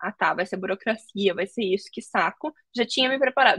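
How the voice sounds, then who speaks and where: Dry, close woman's voice with no echo, at a fairly quick pace. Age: 20s. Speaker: tech recruiter. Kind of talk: casual interview. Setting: live video call.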